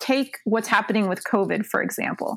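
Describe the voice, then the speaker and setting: A woman with an American accent has a normal speaking voice, a fairly high pitch and ordinary pitch variation. The recording is very clean, with a silent background and a dry, close sound with no echo. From South Florida, Cuban American family. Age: 20s. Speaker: attorney and political communications director. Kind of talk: casual chat.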